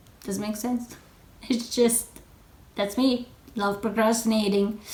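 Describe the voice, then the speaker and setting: A woman with a fairly high voice speaks in a monotone, flat intonation amid audible room echo. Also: fairly slow pace. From Italy. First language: Italian. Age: 20s. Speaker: knitting podcaster. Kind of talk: casual vlog chat. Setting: in front of a camera.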